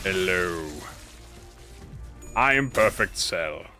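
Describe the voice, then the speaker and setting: Over clear background music, a man uses a put-on character voice with a very deep, low pitch. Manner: menacing, theatrical.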